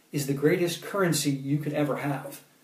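A man uses a normal speaking voice, fairly high in pitch, at a moderate pace. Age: 30s. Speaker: poet and motivational speaker. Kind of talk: motivational talk with poetry readings. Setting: Facebook Live stream.

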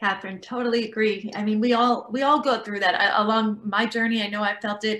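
A woman with an unremarkable speaking voice talks at a moderate pace, her fairly high pitch kept in fairly even intonation. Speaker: interior designer and TV host. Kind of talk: panel discussion. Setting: video call.

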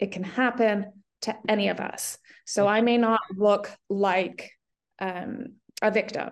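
Very slowly and in a monotone, flat intonation, a woman speaks at a fairly high pitch. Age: 40s. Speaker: accountant and advocate. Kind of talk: testimony. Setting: video call.

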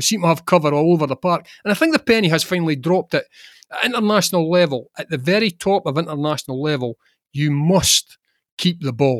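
Speaking at a very fast pace with a Scottish accent, a man with a high pitch and ordinary pitch variation sounds dry and close with no echo. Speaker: football journalist. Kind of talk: casual chat.

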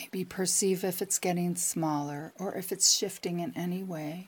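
A woman speaks very slowly in a gentle, warm tone at a fairly low pitch. Her voice is somewhat breathy, with fairly even intonation. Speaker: psychic advisor and meditation guide. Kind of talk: guided meditation. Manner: slow, calm, soothing, with long pauses; gentle, warm, reassuring.

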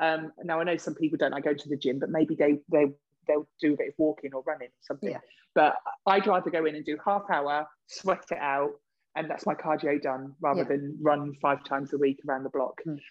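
Someone talks at a fairly quick pace with a southern English accent. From southern England (Reading). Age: 40s. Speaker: podcast co-host. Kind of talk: casual chat. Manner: animated.

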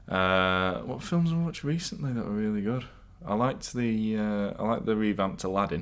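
A man with a fairly low pitch talks at a fairly quick pace, his tone animated and his intonation lively. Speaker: podcast co-host. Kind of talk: casual chat. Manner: animated, joking.

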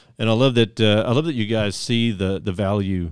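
An ordinary speaking voice: a man at a fairly low pitch and fairly quick pace, ordinary pitch variation, very clean recording with a silent background. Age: 50s. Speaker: podcast host. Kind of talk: casual chat. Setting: studio.

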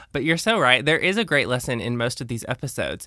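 Speaking at a very fast pace, a man uses lively intonation at medium pitch. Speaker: podcast host. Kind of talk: casual interview chat, recapping episodes.

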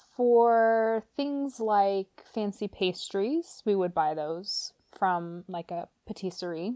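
A woman's medium-pitched, dark, mellow voice, very slow yet with hardly any pauses, lively in intonation, dry and close with no echo, in a very clean recording with a silent background. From Romania until five, then US. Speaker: nonprofit food worker. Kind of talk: casual chat.

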